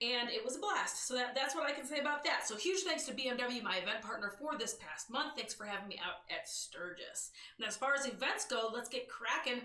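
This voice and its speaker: Over noticeable background noise, a woman speaks loud and animated, high-pitched with lively intonation. Her pace is fairly quick, with hardly any pauses. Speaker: motorcycle news show host. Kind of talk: live stream news show. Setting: live stream.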